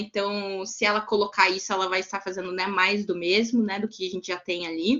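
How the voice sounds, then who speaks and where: This woman has a medium pitch for a woman. Her intonation is monotone and flat. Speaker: lawyer and restorative justice instructor. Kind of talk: online lecture. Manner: hesitant fillers.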